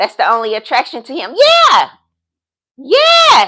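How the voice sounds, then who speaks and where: Speaking at a fairly slow pace, a woman sounds upbeat, her pitch swinging very widely. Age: 50s. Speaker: dating and lifestyle vlogger, business consultant. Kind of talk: casual livestream talk to viewers. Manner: upbeat, sassy.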